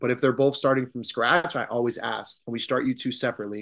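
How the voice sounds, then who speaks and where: Heard over a quiet background, a normal speaking voice with an American accent carries ordinary pitch variation. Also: man. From Arizona. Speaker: swim coach and Navy veteran. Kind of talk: casual interview.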